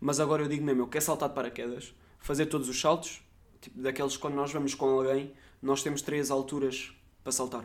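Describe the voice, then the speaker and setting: A fairly high-pitched man with a European Portuguese accent, very fast, with monotone, flat intonation. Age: 20s. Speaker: podcast host. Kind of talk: casual monologue.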